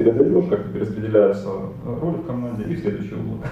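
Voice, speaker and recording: A man rushes through his words at a very fast pace while noticeable background noise carries on. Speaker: IT company co-founder. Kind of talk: podcast interview.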